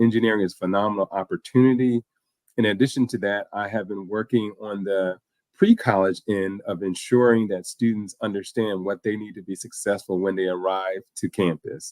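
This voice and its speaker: A man with a Philadelphia accent talks at a fairly quick pace with a fairly low pitch and fairly even intonation. The sound is dry and close, with no echo. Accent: Philadelphia American English. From US Northeast, Philadelphia. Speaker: university dean. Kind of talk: talk show interview.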